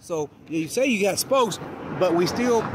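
With lively intonation, a man speaks in a dry sound with no echo over light background noise. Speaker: motorcycle enthusiast vlogger. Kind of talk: casual vlog chat. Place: street. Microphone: phone near.

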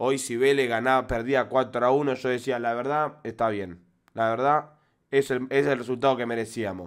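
Fairly slow, fairly even speech from a man with an Argentine accent, over a quiet background. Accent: Rioplatense Argentine Spanish. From Argentina. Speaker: football fan commentator. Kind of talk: angry fan rant. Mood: frustrated, angry rant. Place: home room. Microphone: studio mic.

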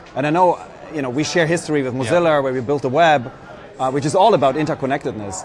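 A man's fairly high voice at a very fast pace, ordinary pitch variation, noticeable background noise behind it. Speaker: startup program executive and interviewer. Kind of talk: live event interview. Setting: live stream from conference floor. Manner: enthusiastic, filler-heavy.

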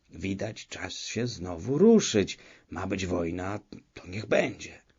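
A man puts on a raspy character voice with a fairly low pitch and ordinary pitch variation. He speaks at a fairly slow pace. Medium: read story. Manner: wheedling, folksy, deferential.

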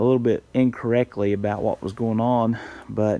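A man keeps a moderate pace while light background noise plays underneath. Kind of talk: casual vlog chat. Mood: relaxed, pleased. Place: farm machine. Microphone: phone near.

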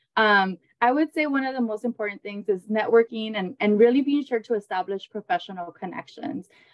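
A woman speaks at a fairly quick pace with hardly any pauses. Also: ordinary pitch variation, quiet background. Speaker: pediatric psychologist. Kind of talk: panel discussion. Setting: video call. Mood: warm, encouraging. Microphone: video call.

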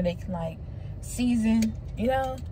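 A woman talks at a moderate pace and a medium pitch. Noticeable background noise runs behind her. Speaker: vlogger / mother. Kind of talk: casual vlog narration. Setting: handheld camera, on the go. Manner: casual, chatty.

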